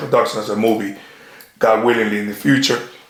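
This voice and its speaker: With audible room echo, a man talks at a very fast pace with ordinary pitch variation. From Dominican Republic, raised in New York. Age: 40s. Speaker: detective, actor and author. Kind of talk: interview. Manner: halting.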